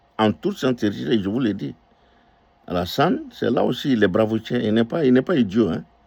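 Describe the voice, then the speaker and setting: A man with a West African accent and a medium pitch talks at a moderate pace in an animated tone with lively intonation and vocal fry. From northern Côte d'Ivoire. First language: Dioula (speaking French). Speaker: political commentator. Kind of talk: political commentary monologue. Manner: animated, emphatic with repetitions; hesitant fillers.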